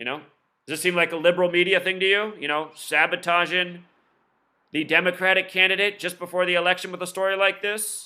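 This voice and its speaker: A man speaks very fast at a high pitch with a bright, sharp tone, on a very clean recording with a silent background. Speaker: conspiracy commentary video host. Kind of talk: casual monologue commentary. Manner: animated.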